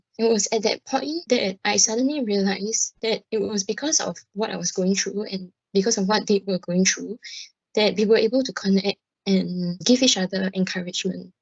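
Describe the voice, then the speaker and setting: A woman speaks at a moderate pace with a medium pitch. Her voice is somewhat breathy, with ordinary pitch variation. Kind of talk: interview testimony. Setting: hospital PA radio programme.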